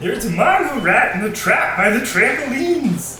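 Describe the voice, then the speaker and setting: A put-on character voice, fairly high in pitch with very wide swings, delivered at a moderate pace with a slight echo. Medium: audio drama. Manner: flat, earnest, oblivious.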